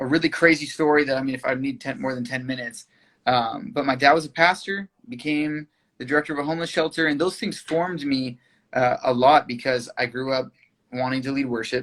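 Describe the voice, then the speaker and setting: With a Californian accent, a man talks at a fairly quick pace in a fairly high pitch with ordinary pitch variation. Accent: Californian American English. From US West Coast, Thousand Oaks, California. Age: 30s. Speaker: singer-songwriter. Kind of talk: interview. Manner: halting.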